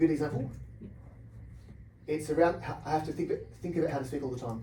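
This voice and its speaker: A man's very fast speech with an Australian accent, fairly even intonation, and audible room echo. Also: fairly high pitch for a man. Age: 40s. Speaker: researcher with Parkinson's. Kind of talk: interview. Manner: fast talker by nature.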